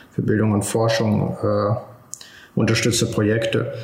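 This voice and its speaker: Audible room echo surrounds the voice of this man as he speaks. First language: Spanish (speaking German). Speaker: PhD student in oceanography. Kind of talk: interview. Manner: halting, many fillers and repeated words.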